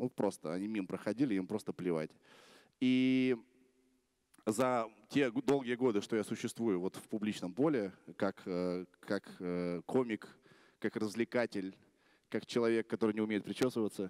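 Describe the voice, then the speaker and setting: Over a quiet background, a man talks at a moderate pace with ordinary pitch variation and long, frequent pauses. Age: 30s. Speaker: blogger; blogger giving a festival talk. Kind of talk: conference talk. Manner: casual. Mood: relaxed, humorous, confident. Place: stage. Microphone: handheld.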